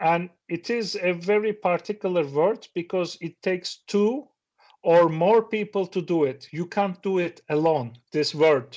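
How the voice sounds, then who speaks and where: A man speaks at a fairly slow pace in a high voice, with ordinary pitch variation. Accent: Turkish. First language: Turkish. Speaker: professor. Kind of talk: seminar talk. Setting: stage with audience. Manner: halting.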